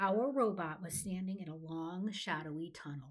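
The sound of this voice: An unforced reading voice carries ordinary pitch variation throughout.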